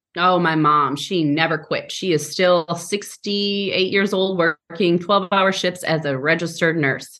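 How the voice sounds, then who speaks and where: A woman with an American accent speaks fairly low and fairly slowly, in a bright, sharp tone. Her loudness stays very even, her intonation fairly even, with hardly any pauses. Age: 30s. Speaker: speech pathologist. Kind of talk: interview.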